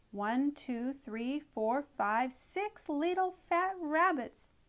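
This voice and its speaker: In a put-on character voice, a woman talks very slowly at a high pitch. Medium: read story. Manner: gloating, repetitive.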